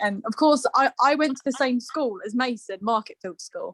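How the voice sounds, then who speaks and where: A woman speaks with an English accent at a moderate pace. The sound is dry and close, with no echo. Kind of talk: casual chat. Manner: halting.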